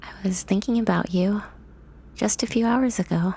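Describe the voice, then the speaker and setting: Somewhat breathy and gentle in tone, a woman speaks at medium pitch. Her pace is fairly slow and her pitch variation is ordinary. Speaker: ASMR roleplay performer. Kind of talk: ASMR comfort roleplay script reading. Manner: soft-spoken, gentle, reassuring.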